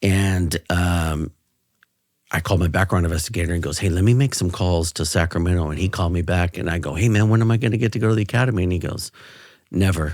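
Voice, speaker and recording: A man speaks very fast with a very deep, low voice and an American accent. His pitch varies in an ordinary way, and the recording is very clean with a silent background. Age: 50s. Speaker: retired police officer. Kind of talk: interview. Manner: animated.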